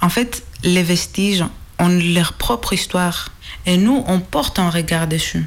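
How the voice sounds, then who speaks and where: Speaking at a very slow pace with a Greek accent, a woman uses fairly even intonation and a fairly low pitch over noticeable background noise. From Greece. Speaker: archaeology PhD student. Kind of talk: explanatory interview.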